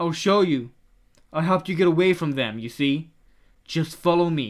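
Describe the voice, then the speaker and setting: A man's put-on character voice, raised and projected, fairly high in pitch, at a moderate pace. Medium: read story. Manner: soft, coaxing, sinister.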